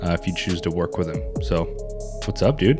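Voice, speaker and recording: Over music in the background, a man with a very deep, low pitch talks at a very fast pace. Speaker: real estate team owner. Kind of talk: interview questions, casual conversation.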